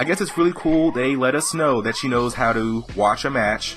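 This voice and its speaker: Music plays in the background. The tone is upbeat and the intonation lively. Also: man. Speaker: wrestling commentator / YouTuber. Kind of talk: casual talk to camera. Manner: casual, upbeat.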